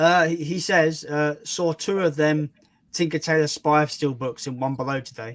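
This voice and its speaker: A man at a moderate pace, fairly high in pitch, with fairly even intonation. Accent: British. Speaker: film YouTuber streaming. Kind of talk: casual chat.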